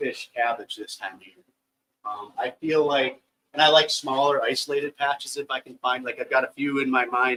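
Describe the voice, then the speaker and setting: A man with a fairly high, bright and sharp voice keeps his intonation fairly even while his loudness swings widely. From northern Wisconsin, US Upper Midwest. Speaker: professional bass angler. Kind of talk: seminar presentation. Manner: fast.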